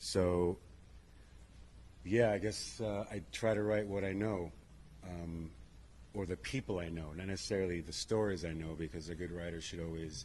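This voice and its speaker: A man with an American accent speaks at a very deep, low pitch, with ordinary pitch variation and a somewhat breathy voice. He keeps a moderate pace but leaves long, frequent pauses. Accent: New York accent that comes and goes. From New York. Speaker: screenwriter on a panel. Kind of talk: panel discussion. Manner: halting, many uhs.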